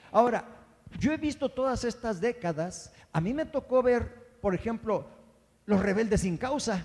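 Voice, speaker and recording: A man speaks fairly slowly at an extremely high pitch with lively intonation. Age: 70s. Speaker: pastor. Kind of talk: sermon.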